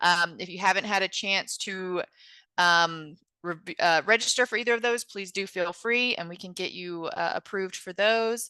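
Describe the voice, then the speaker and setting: A woman speaks at medium pitch with ordinary pitch variation and big swings in loudness, her tone bright and sharp. The sound is dry and close with no echo, over a quiet background. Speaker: virtual forum moderator. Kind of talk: Q&A session moderation. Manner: slow.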